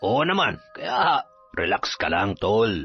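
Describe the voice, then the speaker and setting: Faint music plays in the background as a man does a put-on character voice at a medium pitch. He speaks at a very slow pace. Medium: read story. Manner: casual, confident.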